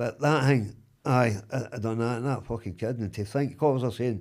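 Speaking at a moderate pace and medium pitch, a man with a Glaswegian accent comes through in a very clean recording with a silent background. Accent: Glaswegian Scottish. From Glasgow East End, Scotland. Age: 60s. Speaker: wrongly convicted man, interviewee. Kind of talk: casual interview.

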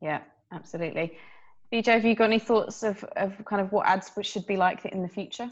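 An ordinary speaking voice from a woman at medium pitch, fairly quick in pace, with fairly even intonation against a quiet background. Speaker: podcast host and journalist. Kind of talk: moderated panel discussion.

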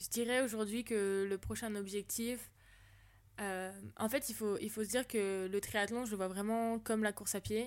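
A woman speaks in a normal speaking voice, fairly high in pitch with fairly even intonation. The recording is very clean, with a silent background. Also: moderate pace. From Paris region, France (Yvelines). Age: 20s. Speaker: triathlete, sports marketer. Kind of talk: casual interview chat.

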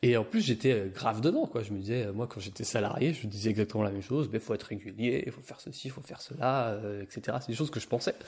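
Somewhat breathy, a man talks at a very fast pace with hardly any pauses and big swings in loudness. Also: medium pitch for a man, ordinary pitch variation. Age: 30s. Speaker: shiatsu and energy-healing practitioner. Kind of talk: casual conversation.

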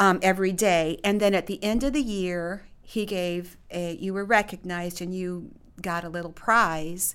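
In an ordinary speaking voice, a woman talks at a moderate pace with a medium pitch and ordinary pitch variation. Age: 60s. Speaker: pastor's wife and adjunct college faculty. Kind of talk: interview.

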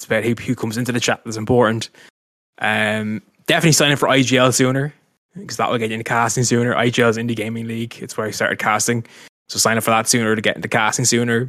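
A man with a Dublin accent talks at a very fast pace in a medium pitch. His tone is bright and sharp, his intonation fairly even. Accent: Dublin Irish. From Ireland, Dublin. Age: 30s. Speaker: esports caster and streamer. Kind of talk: casual interview.

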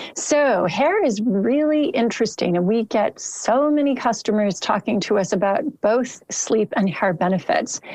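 A woman with a normal speaking voice talks at a fairly slow pace with hardly any pauses, her fairly high pitch moving in lively intonation while her loudness stays very even. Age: 50s. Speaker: supplement company founder. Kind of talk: interview.

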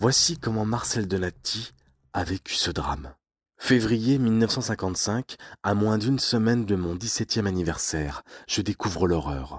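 In a very clean recording with a silent background, a man speaks very slowly at a fairly low pitch. His tone is solemn and dramatic, his intonation lively. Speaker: podcast narrator. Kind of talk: true-crime style scripted narration of a historical industrial disaster. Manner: solemn, dramatic, measured storytelling with grave tone.

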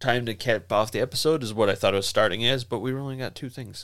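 At a very fast pace, a man of medium pitch speaks with big swings in loudness in a very clean recording with a silent background. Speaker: podcast co-host. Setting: studio, video and audio podcast. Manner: fast talker, excitable.

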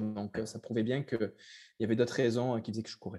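There is music in the background as a man talks. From southern France, Cavaillon. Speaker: ultra-trail runner. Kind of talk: interview.

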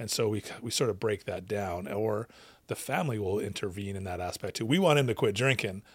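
A man with a Canadian accent and a plain, everyday voice, fairly low in pitch with ordinary pitch variation, at a fairly quick pace on a very clean recording with a silent background. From Western Canada (British Columbia). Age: 40s. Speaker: addiction recovery coach and counsellor. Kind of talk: casual interview.

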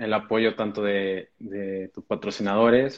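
Speaking in a Mexican accent, a man goes at a very slow pace with monotone, flat intonation. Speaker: talk series host. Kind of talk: online interview.

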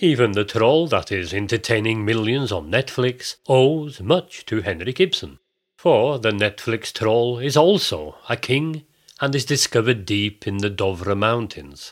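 A man with an unremarkable speaking voice talks at a fairly slow pace, at a medium pitch, with lively intonation. The recording is very clean with a silent background. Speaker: podcast host and narrator. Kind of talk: scripted narration with folk tale reading. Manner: theatrical, playing character voices in the folk tale; measured storytelling, formal.

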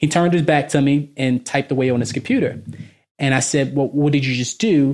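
The recording is very clean with a silent background, featuring a man with an American accent and an unremarkable speaking voice. He speaks at a fairly quick pace with a fairly high pitch, fairly even intonation and very even loudness. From Baltimore, Maryland. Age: 30s. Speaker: finance professional. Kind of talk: casual interview.

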